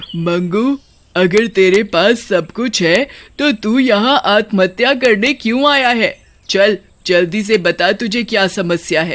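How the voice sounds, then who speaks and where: Fairly high pitch and a fairly slow pace in a put-on character voice. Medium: read story. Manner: cackling, mocking.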